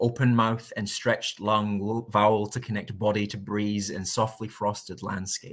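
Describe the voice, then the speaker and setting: A man speaks in a fairly low, flat monotone. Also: moderate pace, hardly any pauses. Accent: Scottish. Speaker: spoken word poet. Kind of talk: spoken word poetry performance.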